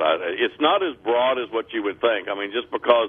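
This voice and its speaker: Speaking with a Texan accent, a man lets his pitch swing very widely. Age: 60s. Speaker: gun store owner. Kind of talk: radio interview. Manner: halting.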